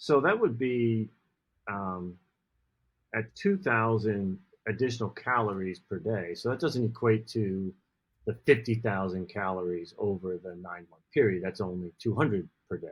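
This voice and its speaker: Pitch varies in an ordinary way at a moderate pace. The background is quiet. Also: man, fairly low pitch for a man. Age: 60s. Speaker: running podcast co-host. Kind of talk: casual chat. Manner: halting.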